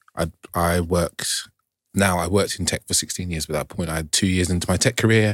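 In a London accent, the speaker talks at a fairly quick pace with fairly even intonation, in a very clean recording with a silent background and a dry, close sound with no echo. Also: man. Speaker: relationship coach. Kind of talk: round-table discussion.

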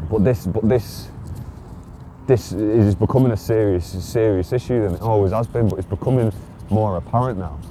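A man speaks in a fairly low pitch at a moderate pace, with a normal speaking voice. His pitch varies in an ordinary way. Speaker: podcaster / solo vlogger. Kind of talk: solo casual monologue, recorded while walking. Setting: outdoors, walking around the docks. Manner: casual, rambling, conversational.

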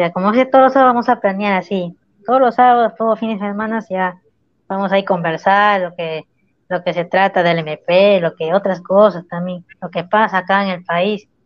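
A woman talks in a plain, everyday voice at a medium pitch and moderate pace. Her pitch varies in an ordinary way. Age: 20s. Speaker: guest. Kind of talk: casual livestream chat.

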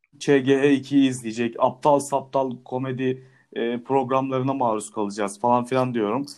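Hardly pausing at all, a man talks at a fairly slow pace. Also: medium pitch for a man. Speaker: podcast host. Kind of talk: casual chat. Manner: animated.

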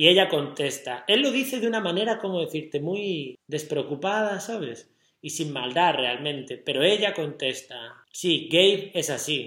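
A man speaks at a high pitch with lively intonation. His pace is fairly slow, with hardly any pauses. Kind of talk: casual chat.

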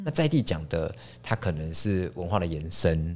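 This man has a Taiwanese accent and a very deep, low pitch. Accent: Taiwanese Mandarin. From Taiwan, Taipei. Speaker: chef and restaurant founder. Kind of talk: casual interview. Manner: halting, frequent repetitions.

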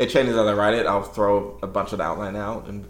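With audible room echo around him, a man speaks at a fairly quick pace in a fairly low pitch, with vocal fry. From England, London (a year in Nigeria as a child). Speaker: writer. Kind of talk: casual interview. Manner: halting.

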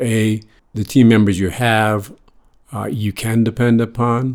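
A man's medium-pitched voice at a very slow pace, in an American accent, with monotone, flat intonation. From US, North Shore of Boston. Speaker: lighting designer. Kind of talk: interview. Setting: on location.

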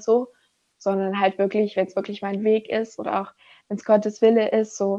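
This woman talks at a fairly quick pace, her pitch fairly high. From Germany. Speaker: former volunteer teacher abroad. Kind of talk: interview. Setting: remote recording from home.

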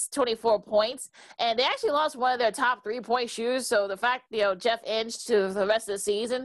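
Over a quiet background, a woman with an American accent uses an ordinary speaking voice, fairly high in pitch with fairly even intonation. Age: 40s. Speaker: sports podcast co-host. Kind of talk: casual sports talk. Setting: video call.

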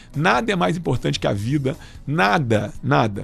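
Vocal fry marks a man's voice. He talks at a moderate pace with very wide pitch swings. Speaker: doctor and health official. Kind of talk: radio interview. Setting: radio studio. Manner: halting, many fillers.

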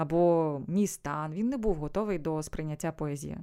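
A woman speaks at a moderate pace with ordinary pitch variation and a dark, mellow tone, in a very clean recording with a silent background. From eastern Ukraine, Sievierodonetsk. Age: 30s. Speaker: voice-over artist and voice coach. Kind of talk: interview.

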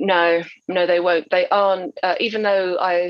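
In a southern English accent, a woman talks with a fairly low pitch and fairly even intonation. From Essex, England. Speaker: crime novelist. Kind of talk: interview.

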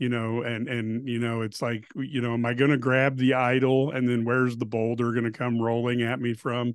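A man talks at a medium pitch with hardly any pauses. His intonation is monotone and flat. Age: 50s. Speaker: sports radio host. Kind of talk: casual sports chat. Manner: halting, many fillers.

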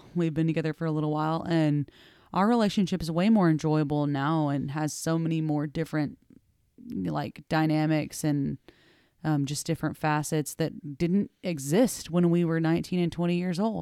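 In a very clean recording with a silent background, a woman speaks at a moderate pace in a very deep, low voice with a dark, mellow tone and ordinary pitch variation. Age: 30s. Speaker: podcast co-host. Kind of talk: casual chat.

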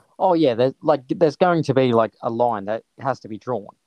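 A man with an Australian accent talks at a medium pitch with ordinary pitch variation, the sound dry and close with no echo. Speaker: sports podcast co-host. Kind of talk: casual chat.

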